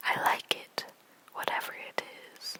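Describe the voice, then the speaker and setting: A whisper moves at a very slow pace over noticeable background noise. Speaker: ASMR creator. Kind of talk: poetry reading. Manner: whispered, soft, slow.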